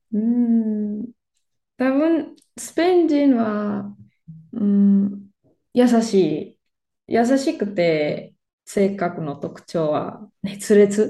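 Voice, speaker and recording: A woman speaks at a very slow pace in a Spanish accent, her pitch fairly high and her tone dark and mellow. Her voice is somewhat breathy, with big swings in loudness. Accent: Spanish-accented Japanese. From Spain, Barcelona. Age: 30s. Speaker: Spanish teacher. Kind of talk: casual interview. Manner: halting, many fillers.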